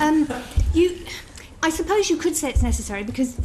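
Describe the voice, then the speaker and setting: A woman speaks with a British accent and lively intonation. Noticeable background noise runs under her voice. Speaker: member of the House of Lords giving evidence. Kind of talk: committee testimony.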